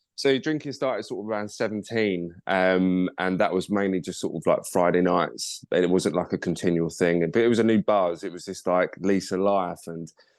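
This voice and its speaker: A man with a southeast English accent speaks at a moderate pace with hardly any pauses against a quiet background. His very deep, low voice shows ordinary pitch variation. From Kent, southeast England. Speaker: model agent, podcast guest. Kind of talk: casual interview chat. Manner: casual, filler-heavy.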